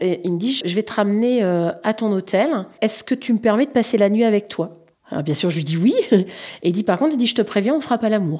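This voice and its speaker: A woman with a medium pitch speaks at a moderate pace in a dark, mellow tone, her intonation lively. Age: 50s. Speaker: interviewee sharing personal story. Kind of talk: personal testimony. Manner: halting, with fillers.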